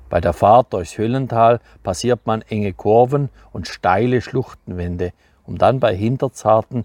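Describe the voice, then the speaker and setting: Here is a man with an ordinary speaking voice at a fairly low pitch and a fairly slow pace. The recording is very clean, with a silent background. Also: dry, close sound with no echo. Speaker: author, farmer. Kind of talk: book reading.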